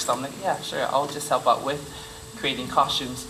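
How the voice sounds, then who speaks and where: A man with a Samoan accent speaks at a fairly high pitch in a flat monotone. Noticeable background noise and audible room echo surround his voice.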